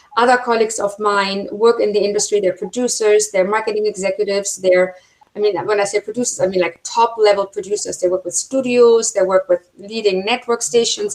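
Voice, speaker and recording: This woman has a German accent and a medium pitch with fairly even intonation. She talks at a fairly quick pace with hardly any pauses. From Germany. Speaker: film producer and university instructor. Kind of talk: webinar talk.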